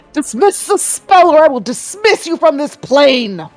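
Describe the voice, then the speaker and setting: Loud and high-pitched, a woman uses a put-on character voice at a moderate pace, with faint music in the background. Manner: loud, commanding.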